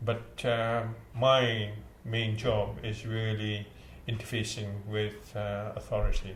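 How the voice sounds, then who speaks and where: A man's voice at medium pitch. It is somewhat breathy. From India. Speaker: community centre chief executive. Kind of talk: interview answer. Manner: hesitant, conversational.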